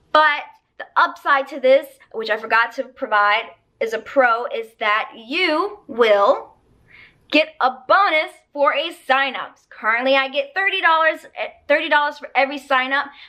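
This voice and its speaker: Raised and projected, a woman's high voice has a bright, sharp tone, lively intonation and big swings in loudness. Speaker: online ESL teacher and vlogger. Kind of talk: casual vlog review.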